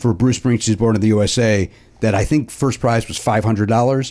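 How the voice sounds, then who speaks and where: This man has a normal speaking voice at a medium pitch with ordinary pitch variation. His pace is moderate. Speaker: podcast host. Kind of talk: casual comedy chat. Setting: studio.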